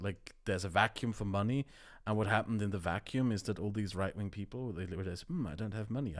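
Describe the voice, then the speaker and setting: A man with a German accent talks at a very fast pace, his pitch fairly low with ordinary variation. The recording is very clean, the background silent. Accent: German accent, creeping back. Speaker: YouTuber, podcast co-host. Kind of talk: casual chat.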